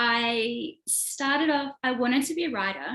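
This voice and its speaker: With an Australian accent, a woman speaks at a high pitch with ordinary pitch variation. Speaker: author and screenwriter. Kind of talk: interview. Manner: casual, many fillers.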